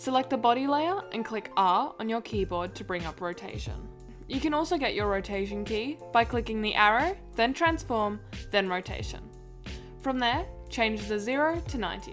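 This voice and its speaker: Music plays in the background as a woman talks. She has an Australian accent and speaks at a moderate pace. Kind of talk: software tutorial voice-over.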